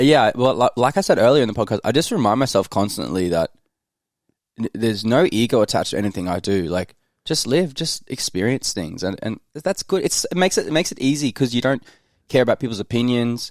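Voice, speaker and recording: A man with an Australian accent talks at a very fast pace and medium pitch with lively intonation, recorded very cleanly against a silent background with a dry, close sound and no echo. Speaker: content creator. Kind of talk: casual chat. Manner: halting.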